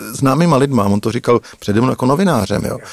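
An unremarkable speaking voice moves at a fairly quick pace, the sound dry and close with no echo. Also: man. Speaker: investigative journalist. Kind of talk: storytelling narration.

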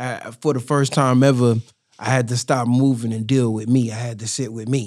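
A man talks at a moderate pace in a plain, everyday voice, medium in pitch with fairly even intonation. The recording is very clean, with a silent background. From born in New York (Harlem), raised in Durham, North Carolina from middle school. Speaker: rapper and community activist. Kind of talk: casual interview chat. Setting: podcast studio.

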